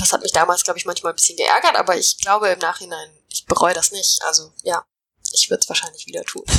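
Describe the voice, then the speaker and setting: The sound is dry and close, with no echo. A woman delivers her words at a very fast pace. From Finland. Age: 20s. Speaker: climate protection NGO employee, physicist. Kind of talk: interview.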